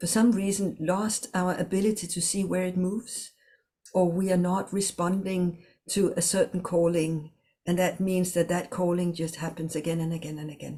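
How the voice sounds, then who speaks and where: Somewhat breathy with a dark, mellow tone, a woman speaks at a fairly low pitch and a moderate pace in a flat monotone. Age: 60s. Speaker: communication trainer and coach. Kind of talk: online workshop. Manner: halting.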